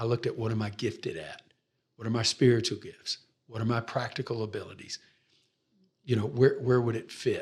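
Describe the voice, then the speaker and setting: A man with an American accent speaks at a fairly quick pace, somewhat breathy. His intonation is fairly even, broken by long, frequent pauses. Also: medium pitch for a man. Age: 60s. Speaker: pastor. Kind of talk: interview.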